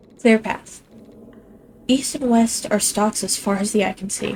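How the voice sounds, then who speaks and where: A woman speaks at a fairly high pitch and a moderate pace, with ordinary pitch variation. Noticeable background noise runs behind her. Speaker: gaming streamer. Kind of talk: let's play commentary, reading game text aloud. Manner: stumbles over words.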